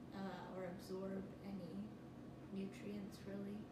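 Loud background noise fills the recording. Room echo is audible as well. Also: woman. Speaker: person telling her own story. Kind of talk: interview answer. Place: home room. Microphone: camera far.

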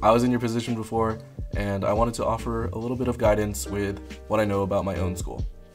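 The speech comes at a very fast pace with ordinary pitch variation. Music plays in the background. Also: man, fairly low pitch for a man. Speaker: college student. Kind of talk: casual talk to camera.

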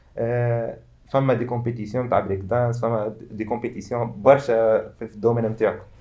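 A man talks at a fairly quick pace with hardly any pauses. His intonation is monotone and flat. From Tunisia. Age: 20s. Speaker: freestyle football athlete; guest. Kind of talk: interview. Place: studio.

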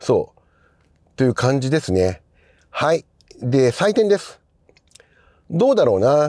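A man's fairly high, dark and mellow voice, fairly slow with long, frequent pauses and very wide pitch swings, dry with no echo against a quiet background. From Japan. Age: 50s. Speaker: film journalist; film critic host. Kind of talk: casual monologue. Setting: in a car. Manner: conversational, many fillers. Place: car.

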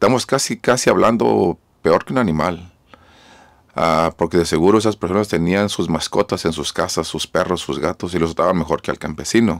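Over a quiet background, a man with a very deep, low pitch talks at a moderate pace with lively intonation. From Mexico, Jalisco; raised in California from age 13. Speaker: mayor. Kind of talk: radio interview. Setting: mobile studio. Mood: earnest, grave at times. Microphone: studio mic.

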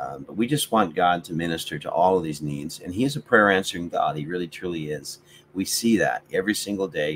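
This man has a very deep, low voice and lively intonation. He talks at a fairly quick pace over light background noise. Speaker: online devotional host. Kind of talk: casual live-stream chat with viewers. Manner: hesitant, many fillers. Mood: warm, caring. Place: home room. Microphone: webcam.

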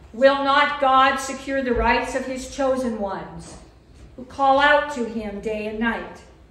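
Fairly slow, fairly even speech from a woman with a high voice amid audible room echo. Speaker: lay reader at Mass. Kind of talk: liturgical reading and prayer. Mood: calm, solemn. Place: church. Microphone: podium.

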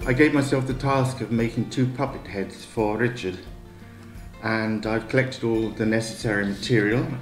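A man speaks at a moderate pace with fairly even intonation. Audible room echo and faint background music are present. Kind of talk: casual vlog chat. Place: kitchen. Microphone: camera far.

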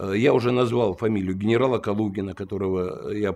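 Using a plain, everyday voice, a man speaks at a fairly low pitch and moderate pace with fairly even intonation. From Russia, Saint Petersburg; Russia. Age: 60s. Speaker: lawyer and former police detective; lawyer. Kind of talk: interview. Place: home room.

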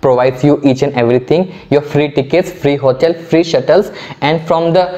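A man talks at a moderate pace with fairly even intonation. His loudness stays very even. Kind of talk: tutorial. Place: studio. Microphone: lapel.

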